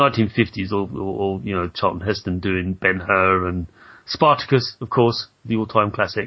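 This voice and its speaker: Speaking with a British accent, a man has a fairly low pitch. He goes at a fairly slow pace with ordinary pitch variation. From Britain. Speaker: podcast host interviewing game developers. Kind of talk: casual interview.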